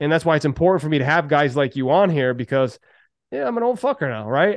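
A man's normal speaking voice, fairly quick and lively in intonation. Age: 40s. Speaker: podcast host and business coach. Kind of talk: casual interview chat.

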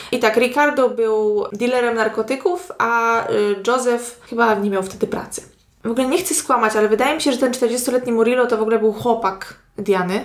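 A woman at a fairly high pitch and fairly quick pace, with ordinary pitch variation and noticeable background noise. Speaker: true crime podcast co-host. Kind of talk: crime storytelling.

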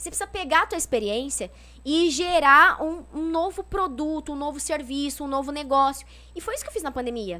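A woman with a high pitch projects a raised voice. Her tone is bright and sharp, and her pace is fairly quick. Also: lively intonation. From São Paulo state interior (São José do Rio Preto). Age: 30s. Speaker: politician. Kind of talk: casual interview chat.

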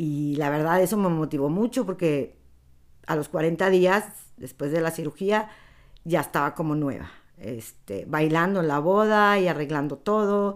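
Over a silent background on a very clean recording, an ordinary speaking voice moves at a fairly slow pace with lively intonation. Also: woman, fairly low pitch for a woman. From Palestine. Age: 50s. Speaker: interviewee sharing life story. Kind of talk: personal testimony.

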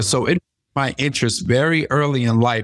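This man has a plain, everyday voice, moving at a fairly quick pace with ordinary pitch variation. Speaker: life coach and plant medicine practitioner. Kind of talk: casual interview conversation. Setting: remote call.

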